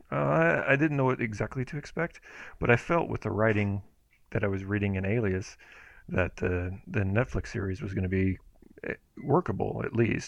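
A man with an American accent and an unremarkable speaking voice, fairly low in pitch, with lively intonation. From Houston, Texas. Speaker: podcast co-host. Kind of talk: casual chat. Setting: remote recording.

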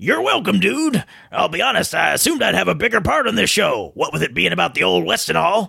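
A man's put-on character voice at a very fast pace. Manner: cheerful, casual.

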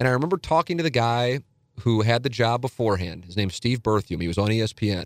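A man with an American accent speaks at a very fast pace in a medium pitch with lively intonation, and the very clean recording has a silent background and a dry, close sound with no echo. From St. Louis, Missouri (South City). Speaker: sports radio host and website founder. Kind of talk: casual interview chat.

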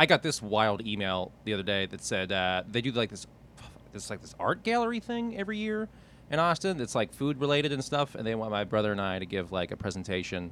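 An ordinary speaking voice from a man with an American accent, fairly low in pitch, fairly quick, with lively intonation. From Pittsburgh, US. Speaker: comedian. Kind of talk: casual chat. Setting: studio.

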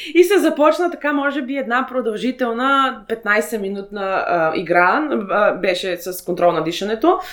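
Over noticeable background noise, a woman talks in a high pitch that swings very widely. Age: 30s. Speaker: interviewee sharing personal BDSM experience. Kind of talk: interview. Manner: halting, many fillers.

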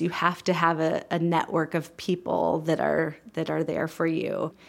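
Talking at a fairly slow pace, a woman with an American accent has an unremarkable speaking voice and a fairly low pitch. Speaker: community aging program director. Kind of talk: interview.

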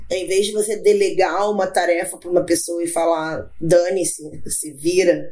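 Moderate pace and flat, monotone intonation over noticeable background noise. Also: woman, fairly low pitch for a woman, big swings in loudness. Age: 30s. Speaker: agile project manager. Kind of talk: casual chat.

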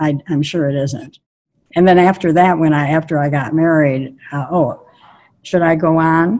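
In an American accent, a woman with a very deep, low pitch speaks at a moderate pace with fairly even intonation. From US Midwest, Milwaukee. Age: 90s. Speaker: activist. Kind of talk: interview. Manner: halting.

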